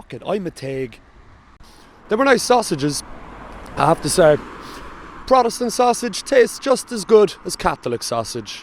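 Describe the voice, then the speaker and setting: A man with a strong Cork accent speaks at a moderate pace and a high pitch, with very wide pitch swings and big swings in loudness. He leaves long, frequent pauses, and noticeable background noise is present. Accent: thick Cork. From Ireland, Cork. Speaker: travel vlogger. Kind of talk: casual vlog narration.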